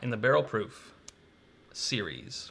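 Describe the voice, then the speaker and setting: A man with an American accent, bright and sharp in tone, with vocal fry, at a fairly slow pace over light background noise. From Kentucky. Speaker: bourbon channel co-host. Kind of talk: casual live-stream tasting chat. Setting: live stream. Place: home room.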